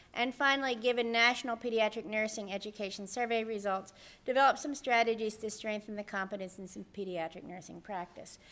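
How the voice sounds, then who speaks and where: A plain, everyday voice: a woman's fairly high pitch, a fairly quick pace with hardly any pauses, and ordinary pitch variation on a very clean recording with a silent background. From US Northeast. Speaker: nursing professor. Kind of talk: conference presentation.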